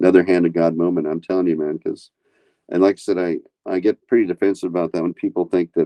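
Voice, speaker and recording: A man speaks in a very deep, low voice. His pace is very fast. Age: 70s. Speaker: war veteran. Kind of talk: testimony. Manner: halting.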